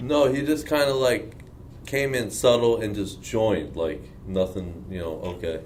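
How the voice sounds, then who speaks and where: A man with an American accent, medium pitch, lively intonation and a moderate pace, amid audible room echo. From Long Island, New York. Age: 20s. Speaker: bodybuilding athlete. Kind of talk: casual Q&A interview.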